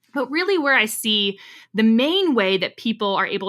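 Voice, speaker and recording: In a very clean recording with a silent background, a woman speaks at a fairly quick pace and fairly high pitch, her tone bright, sharp and energetic, her intonation lively. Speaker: career coach and podcast host. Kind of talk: podcast monologue with advice. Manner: fast.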